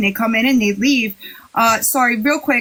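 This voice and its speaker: A fairly high-pitched woman's voice with an American accent and ordinary pitch variation, over noticeable background noise. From New York. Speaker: livestream host. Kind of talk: casual chat. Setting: livestream.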